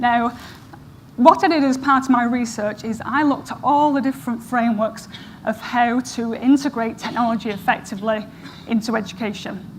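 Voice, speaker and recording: Fairly quick speech with an American accent and ordinary pitch variation, over noticeable background noise. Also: woman, fairly high pitch for a woman. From northern England, Manchester area. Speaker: professor. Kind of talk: conference talk. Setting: stage with audience.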